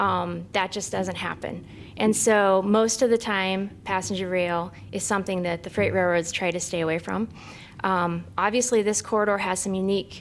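A woman speaks at a moderate pace with a medium pitch and fairly even intonation in an unremarkable speaking voice. The recording is very clean, with a silent background. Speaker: state rail transportation official. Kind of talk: presentation at public board meeting. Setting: in-person meeting room.

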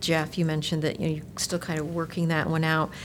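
Noticeable background noise runs behind this recording. A woman speaks at a fairly low pitch. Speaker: city council member. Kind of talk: formal public meeting.

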